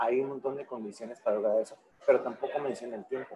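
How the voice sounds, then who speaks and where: A man talks at a very fast pace. Noticeable background noise runs underneath. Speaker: attendee. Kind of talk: casual chat. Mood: reflective, personal. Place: meeting room. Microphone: camera far.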